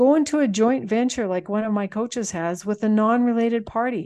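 This woman speaks at a fairly quick pace with a Canadian Prairie accent. Her pitch is fairly high with ordinary variation, and the background is quiet. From Manitoba, Canada. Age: 60s. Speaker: farm transition consultant and author. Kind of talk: casual interview.

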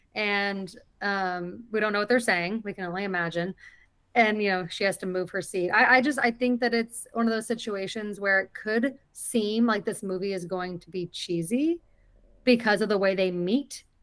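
A woman with an unremarkable speaking voice, medium pitch, ordinary pitch variation and a moderate pace. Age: 30s. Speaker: movie podcast co-host. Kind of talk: casual chat. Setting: video call.

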